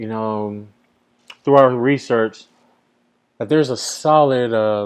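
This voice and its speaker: Speaking at a very slow pace, a man uses a medium pitch with ordinary pitch variation. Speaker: company founder and CEO. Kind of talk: sales pitch. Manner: stuttering, unedited.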